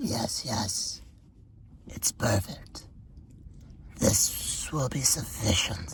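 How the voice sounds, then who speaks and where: A man whispers in a nasal, put-on character voice at a very slow pace, with long, frequent pauses. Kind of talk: horror narration. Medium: read story. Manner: cold, creepily calm.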